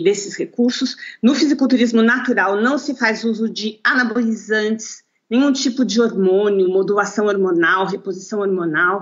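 Her pace is fairly slow. The woman's pitch is medium, with ordinary variation. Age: 50s. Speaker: lawyer and natural bodybuilder. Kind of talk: interview. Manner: halting, with repetitions.

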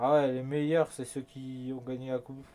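A man is speaking. He takes a fairly slow pace. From France. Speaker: gaming YouTuber. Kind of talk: casual gameplay commentary. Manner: animated. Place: home room.

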